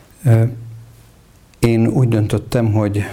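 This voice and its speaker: A man speaks with fairly low pitch and fairly even intonation. Noticeable background noise runs underneath. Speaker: Reformed Church bishop. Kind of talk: interview.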